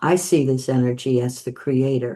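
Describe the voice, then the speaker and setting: Her voice is very deep and low for a woman, with a dark, mellow tone. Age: 70s. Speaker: spiritual medium. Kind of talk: talk to camera. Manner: halting.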